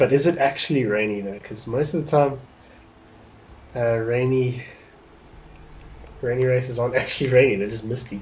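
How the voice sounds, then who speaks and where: A somewhat breathy man's voice at medium pitch and moderate pace, with ordinary pitch variation, long, frequent pauses, and audible room echo. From South Africa. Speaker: gaming streamer. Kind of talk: casual livestream gameplay commentary. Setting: livestream.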